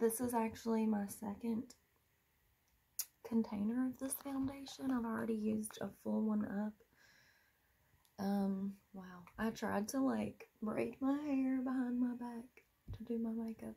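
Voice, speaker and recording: Somewhat breathy and in a dark, mellow tone, a woman speaks with an American accent at a fairly slow pace. Her intonation is fairly even, and she takes long, frequent pauses. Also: fairly high pitch for a woman. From US East Coast. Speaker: beauty vlogger. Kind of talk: casual chat.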